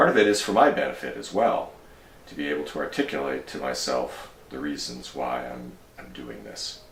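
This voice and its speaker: With lively intonation and a very deep, low pitch, a man speaks at a moderate pace amid noticeable background noise and audible room echo. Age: 60s. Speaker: hiker and vlogger. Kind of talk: personal monologue to camera. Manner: halting, many fillers.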